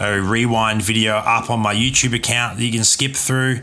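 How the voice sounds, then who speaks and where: With an Australian accent, a man speaks at medium pitch in a relaxed tone that is bright and sharp. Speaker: gaming streamer. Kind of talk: live stream chat with commentary. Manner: casual, relaxed.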